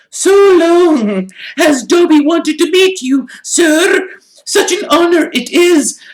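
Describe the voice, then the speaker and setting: An extremely high-pitched, put-on character voice speaks at a fairly slow pace. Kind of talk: servile, eager.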